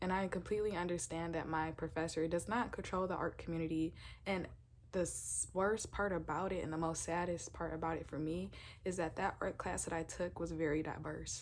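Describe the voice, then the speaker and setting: A woman's vocal fry at a fairly quick pace, intonation fairly even. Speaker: university art student. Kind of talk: casual talk to camera, podcast-style episode.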